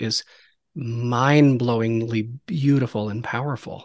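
A man speaks with a plain, everyday voice at a medium pitch. His intonation stays fairly even over a quiet background. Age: 40s. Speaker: podcast host. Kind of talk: casual chat.

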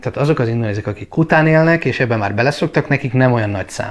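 A man in a normal speaking voice talks at a medium pitch with ordinary pitch variation. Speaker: travel vlogger. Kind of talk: casual chat. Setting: at home.

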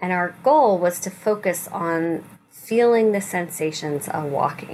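A woman speaks in a normal speaking voice at a medium pitch. Her pitch varies in an ordinary way. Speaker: rabbi leading weekly meditation. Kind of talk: guided meditation with gentle spiritual teaching. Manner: slow, soothing, softly inviting instructions; warm, reassuring and non-judgmental.

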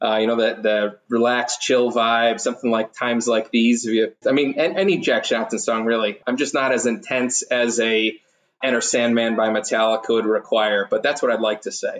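A man speaks with a plain, everyday voice at a medium pitch. His pace is moderate, his intonation fairly even and his loudness very even. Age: 40s. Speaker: ETF strategist at an investment firm. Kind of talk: interview.

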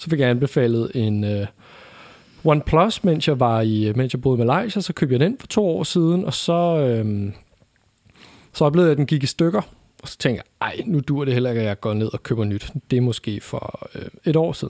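Lively intonation from a man, medium in pitch and moderate in pace. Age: 20s. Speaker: podcast co-host, advertising agency founder. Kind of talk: casual chat. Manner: halting.

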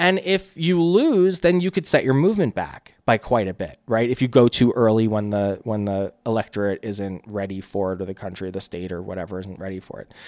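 A man with an American accent talks at a fairly quick pace with hardly any pauses, his fairly low pitch moving in very wide swings. His loudness rises and falls sharply, and the recording is very clean with a silent background. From central New Jersey. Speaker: political strategist. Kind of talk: casual interview chat. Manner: fast-talking; animated.

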